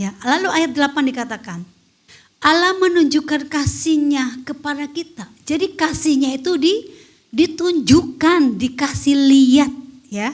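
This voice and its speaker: A loud, high woman's voice at a fairly slow pace with ordinary pitch variation. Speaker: women's fellowship preacher. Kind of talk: sermon. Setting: online church service.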